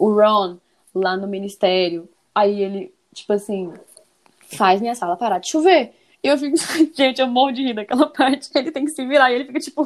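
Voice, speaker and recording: A woman with a high voice and lively intonation moves at a moderate pace, leaving long, frequent pauses. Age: 30s. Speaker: guest fan. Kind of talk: casual chat. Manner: animated.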